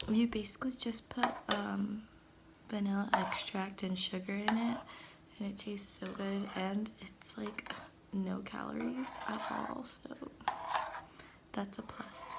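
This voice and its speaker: A woman speaks at a fairly slow pace, with long, frequent pauses and fairly even intonation. Her loudness swings widely, and there is audible room echo and noticeable background noise. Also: medium pitch for a woman. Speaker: vlogger. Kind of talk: casual vlog.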